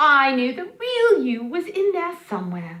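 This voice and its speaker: Using a put-on character voice, a woman speaks at a moderate pace in a high, gentle tone with very wide pitch swings. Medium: read story. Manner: kind, gentle, bright.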